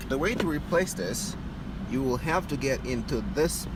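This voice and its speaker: Over clearly noticeable background noise, a man delivers his words at a moderate speed. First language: not English. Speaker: DIY car repair video maker. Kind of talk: tutorial. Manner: hesitant, with fillers.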